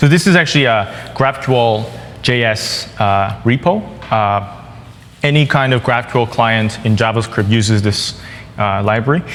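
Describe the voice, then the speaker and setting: A man with a Korean accent speaks at a moderate pace and medium pitch, with ordinary pitch variation and very even loudness, against noticeable background noise and audible room echo. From South Korea. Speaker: software developer. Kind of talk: conference tech talk. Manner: halting, many fillers.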